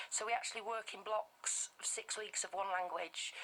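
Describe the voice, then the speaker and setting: A woman with a Bradford accent speaks at a fairly high pitch. Background noise is noticeable. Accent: Bradford, West Yorkshire. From northern England, Bradford, West Yorkshire. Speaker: language teacher for toddlers. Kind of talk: radio interview. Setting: radio studio.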